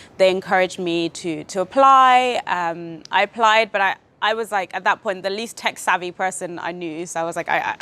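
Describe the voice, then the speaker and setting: A woman speaks at a medium pitch in a bright, sharp tone, with ordinary pitch variation. Her pace is fairly quick with hardly any pauses, on a very clean recording with a silent background. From The Gambia. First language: Wolof and Jola. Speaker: IT business analyst. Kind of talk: interview. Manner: hesitant, many fillers and repeats.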